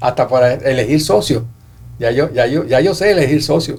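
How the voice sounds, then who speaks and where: Fairly quick and fairly high-pitched, a man talks with vocal fry. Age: 80s+. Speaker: economist and author. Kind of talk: interview. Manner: halting, many fillers.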